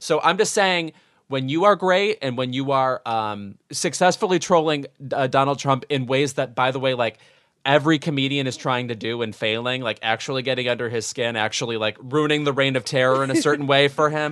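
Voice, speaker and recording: A man speaks in a normal speaking voice at a fairly quick pace. His pitch is medium with ordinary variation, over a quiet background. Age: 30s. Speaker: podcast co-host. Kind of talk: casual chat. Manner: theatrical.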